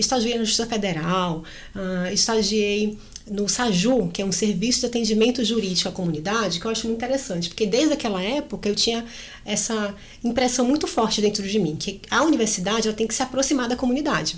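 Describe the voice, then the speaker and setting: A woman with a Bahian accent at a very fast pace, fairly high pitch and ordinary pitch variation, with audible room echo. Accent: Bahian accent, still noticeable. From Brazil, Salvador, Bahia. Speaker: labour court judge. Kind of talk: interview.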